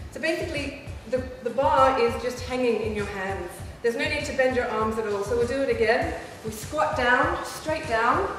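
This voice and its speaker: A woman with a high pitch speaks at a moderate pace and ordinary pitch variation, in strong room echo with light background noise. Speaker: presenter. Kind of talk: tutorial. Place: gym.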